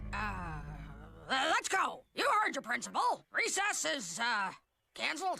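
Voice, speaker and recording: Cartoonish character voice, high-pitched with very wide pitch swings, moderate pace and long, frequent pauses. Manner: gruff, loud.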